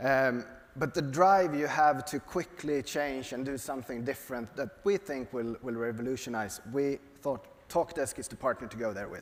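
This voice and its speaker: A man speaks with a Swedish accent at a moderate pace. His loudness swings widely. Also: medium pitch for a man, ordinary pitch variation. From Sweden. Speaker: software company executive. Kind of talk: onstage interview. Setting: stage with audience. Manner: halting.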